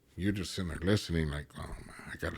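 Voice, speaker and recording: The recording is very clean with a silent background. A man with an American accent speaks in a somewhat breathy voice. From East LA and San Gabriel Valley, California. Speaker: former gang member and ex-prisoner. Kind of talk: casual interview conversation.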